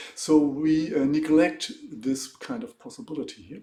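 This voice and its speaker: A man with a German accent speaks at a moderate pace. Audible echo from the room is present. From Germany. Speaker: economics professor. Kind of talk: lecture. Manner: halting.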